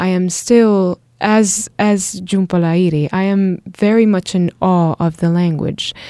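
Speaking very slowly with hardly any pauses, a woman with an Italian accent has a dark, mellow tone, a medium pitch and fairly even intonation. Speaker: podcast co-host. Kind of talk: casual conversation podcast. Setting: small studio.

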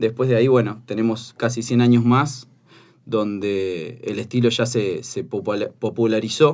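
This man has a medium pitch and speaks at a fairly slow pace. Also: very clean recording, silent background. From Buenos Aires area, Argentina. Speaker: craft brewery owner. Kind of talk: casual chat.

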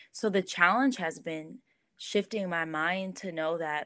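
Her pitch sits fairly low, with ordinary variation, as this woman speaks at a moderate pace. The recording is very clean and the background silent. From Southern California. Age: 20s. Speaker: church creative director. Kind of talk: podcast interview. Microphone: echoey audio.

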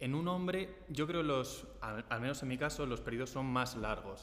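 A man at a fairly slow pace with ordinary pitch variation, in audible room echo. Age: 20s. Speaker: team member. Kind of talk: casual group chat.

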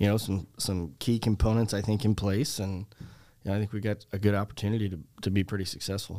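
A man with a Chicago accent talks very fast in a dark, mellow tone at a fairly low pitch. His intonation is fairly even, and the recording is very clean with a silent background. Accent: Chicago-area American. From US Midwest, Chicago suburbs. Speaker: teacher and softball coach. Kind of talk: interview.

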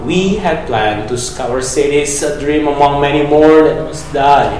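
Amid noticeable background noise, a man with a fairly high pitch delivers his words in a dramatic tone at a fairly slow pace. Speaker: poet reading own work. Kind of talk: poem performed, reading own poetry aloud. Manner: dramatic, poetic cadence with reflective pauses.

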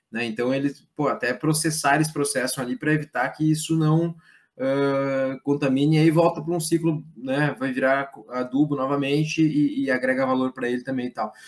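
Intonation stays fairly even as the man talks. His moderate-speed delivery sits at a fairly high pitch. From Brazil, Rio Grande do Sul (Lajeado). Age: 30s. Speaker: politician and institute president. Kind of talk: interview. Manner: halting, many fillers.

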